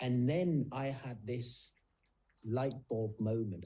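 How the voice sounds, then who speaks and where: A man's somewhat breathy, medium-pitched voice with a dark, mellow tone and ordinary pitch variation. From South Africa. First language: Afrikaans. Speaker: nurse and author. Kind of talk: interview conversation.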